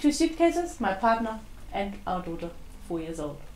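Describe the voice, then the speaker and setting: A woman talks at a moderate pace with a German accent. There is audible room echo and noticeable background noise. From East Germany. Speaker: interviewee. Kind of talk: interview.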